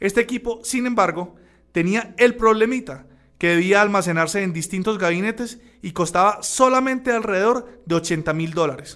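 A man's high voice with a bright, sharp tone, ordinary pitch variation and a moderate pace. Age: 40s. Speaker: radio host. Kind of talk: educational radio show.

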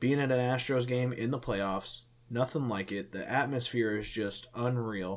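Using a normal speaking voice, a man talks at medium pitch and a moderate pace with fairly even intonation. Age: 20s. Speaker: podcast co-host. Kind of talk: casual chat.

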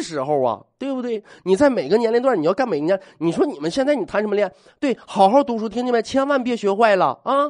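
With an extremely high pitch and very wide pitch swings, a man talks at a fairly quick pace against a quiet background. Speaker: radio host. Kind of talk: casual monologue. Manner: animated.

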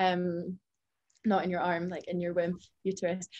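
This is a woman with an unremarkable speaking voice at medium pitch. She talks at a moderate pace. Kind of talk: casual chat.

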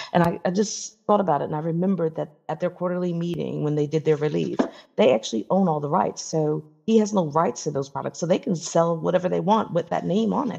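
Talking very fast, a woman uses a fairly low pitch, a dark, mellow tone and vocal fry. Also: ordinary pitch variation. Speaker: podcast co-host. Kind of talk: casual banter.

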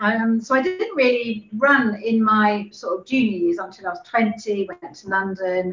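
Against noticeable background noise, a woman with a fairly high pitch talks at a moderate pace with hardly any pauses, ordinary pitch variation and big swings in loudness. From Hampshire, England. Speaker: amateur runner. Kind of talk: casual group interview.

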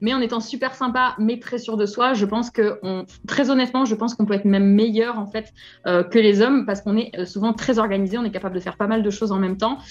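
A woman's fairly high-pitched voice at a moderate pace, with music in the background. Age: 30s. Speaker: physiotherapist and property investor. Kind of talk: interview. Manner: energetic.

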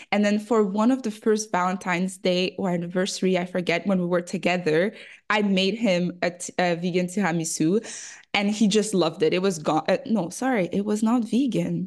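In a French accent, a woman talks at a moderate pace with a medium pitch. Her pitch varies in an ordinary way against a quiet background. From Congo. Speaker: food photographer and cookbook author. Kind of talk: interview.

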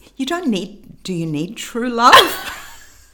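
Over noticeable background noise, a woman talks with pitch that swings very widely. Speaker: co-host, mother. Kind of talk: casual chat, playful game.

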